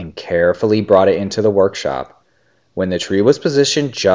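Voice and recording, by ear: In a quiet setting, the speaker reads aloud in a natural voice.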